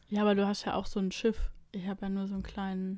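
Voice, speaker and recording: A woman's medium-pitched, somewhat breathy voice, monotone and flat, at a moderate pace on a very clean recording with a silent background. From Braunschweig, Germany. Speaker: podcast co-host. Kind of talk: casual chat. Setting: in person, in a bedroom.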